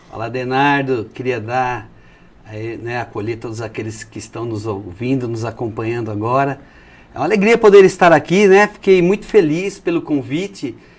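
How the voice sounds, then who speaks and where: A man's medium-pitched voice at a moderate pace, with very wide pitch swings and big swings in loudness. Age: 60s. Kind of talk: testimony. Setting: TV studio, in person. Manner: energetic.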